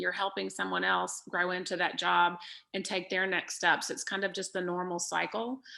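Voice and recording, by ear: A woman speaks at a fairly quick pace with vocal fry. Her tone is bright and sharp, and her pitch is fairly low for a woman.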